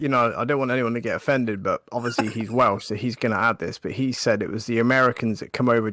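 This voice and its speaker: In a West Country accent, a man speaks at a fairly quick pace with a medium pitch and fairly even intonation. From southern England, Wiltshire. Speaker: gaming livestream co-host. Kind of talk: casual chat.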